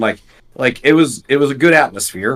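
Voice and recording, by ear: At a fairly quick pace, a man speaks with a fairly bright tone.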